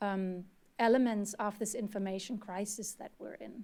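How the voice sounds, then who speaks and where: A woman with a German accent speaks in a dark, mellow tone at a medium pitch, her intonation monotone and flat, on a very clean recording with a silent background. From Germany. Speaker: researcher and former journalist. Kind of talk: panel discussion.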